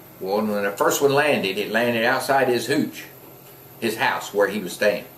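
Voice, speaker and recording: Someone with an American accent speaks at a moderate pace with ordinary pitch variation, amid noticeable background noise and audible room echo. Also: man, medium pitch for a man. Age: 60s. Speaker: war veteran. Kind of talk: interview, personal war recollection. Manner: casual, conversational.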